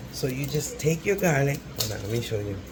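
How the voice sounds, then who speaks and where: With noticeable background noise and audible room echo, a man speaks at a fairly slow pace, medium in pitch and ordinary in pitch variation. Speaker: cooking vlogger. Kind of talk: casual cooking tutorial. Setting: home kitchen. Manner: whispering a little; chatty.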